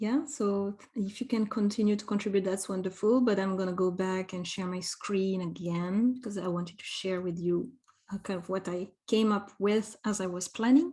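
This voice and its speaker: A woman's voice comes across dark, mellow and somewhat breathy. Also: medium pitch for a woman, ordinary pitch variation, moderate pace. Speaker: education trainer. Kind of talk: online workshop presentation.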